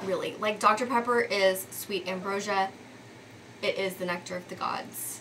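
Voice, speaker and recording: A woman speaks in an American accent with monotone, flat intonation. Noticeable background noise sits behind her. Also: medium pitch for a woman, moderate pace. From Texas, Dallas. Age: 30s. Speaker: lifestyle vlogger. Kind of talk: casual vlog monologue. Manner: conversational with frequent um fillers.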